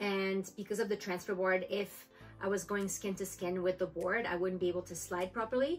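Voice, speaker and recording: Faint music plays behind a woman's voice. She moves at a fairly quick pace. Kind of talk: tutorial. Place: home room. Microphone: camera far.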